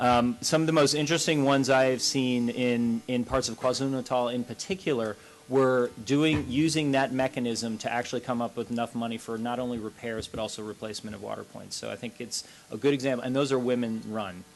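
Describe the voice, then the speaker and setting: Over noticeable noise in the background, the speech moves along fairly quickly. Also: man, medium pitch for a man. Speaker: panelist, water and sanitation NGO expert. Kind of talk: panel discussion Q&A. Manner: fast; animated.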